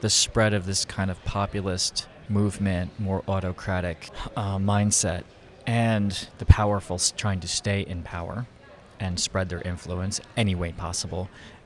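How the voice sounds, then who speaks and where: Using a plain, everyday voice, a man with an American accent speaks at a moderate pace in a fairly low pitch. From Philadelphia, US. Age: 50s. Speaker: photographer. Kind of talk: casual interview. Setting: conference venue.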